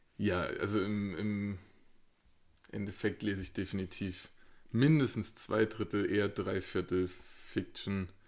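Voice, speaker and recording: A man with a fairly low pitch and fairly even intonation talks at a very slow pace, leaving long, frequent pauses. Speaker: podcast co-host, medical professional. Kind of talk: casual chat.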